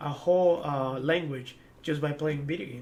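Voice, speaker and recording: Audible room echo surrounds a man with an Ecuadorian accent. His pitch is fairly high. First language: Spanish. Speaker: former esports pro player. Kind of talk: interview. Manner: hesitant, many fillers and repetitions.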